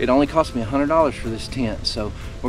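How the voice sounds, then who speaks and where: Music plays in the background. A man speaks at a very fast pace. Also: dry sound with no echo. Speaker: outdoor vlogger. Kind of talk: casual vlog chat. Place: open country. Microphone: camera far.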